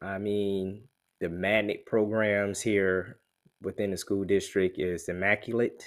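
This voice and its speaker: A fairly low-pitched man with a South Carolina accent, at a fairly slow pace in a monotone, flat intonation. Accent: US Southern (South Carolina). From Columbia, South Carolina. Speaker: realtor and army veteran. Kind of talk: promotional monologue. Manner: casual, with many fillers.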